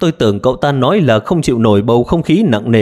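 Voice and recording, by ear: Read aloud in a natural voice, the passage carries lively intonation.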